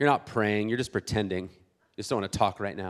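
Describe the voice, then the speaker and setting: With an American accent, a man talks at a very fast pace in an animated tone with ordinary pitch variation. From US West Coast, South Bay San Diego. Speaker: pastor. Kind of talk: sermon. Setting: church.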